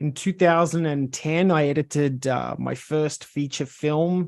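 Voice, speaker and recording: Here a man speaks with an Australian accent. His pitch is fairly high and his intonation fairly even. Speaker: video editor. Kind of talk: self-introduction, presentation.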